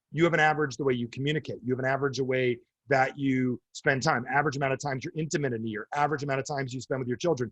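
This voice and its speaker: A man speaks with an American accent, his voice somewhat breathy. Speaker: speaker or coach addressing business audiences.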